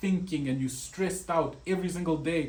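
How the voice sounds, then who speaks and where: A man speaks in a somewhat breathy voice with ordinary pitch variation. Audible room echo surrounds him. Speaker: web designer. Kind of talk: tutorial.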